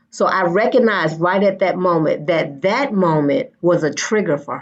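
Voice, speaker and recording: Speaking at a moderate pace, a woman with a normal speaking voice keeps a medium pitch and lively intonation. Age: 50s. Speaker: school educator. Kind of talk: panel discussion.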